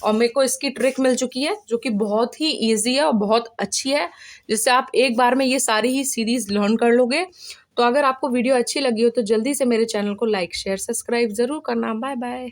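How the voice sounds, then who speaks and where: On a very clean recording with a silent background, a woman with a high pitch talks at a moderate pace, her pitch varying in an ordinary way. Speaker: science teacher. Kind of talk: tutorial.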